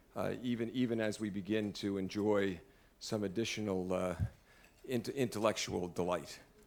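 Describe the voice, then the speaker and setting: Fairly low in pitch, a man talks at a fairly slow pace with fairly even intonation. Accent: American. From US Northeast, Brooklyn, New York. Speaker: law school dean, event emcee. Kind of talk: formal dinner introduction. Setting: dinner event with audience. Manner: halting, many fillers.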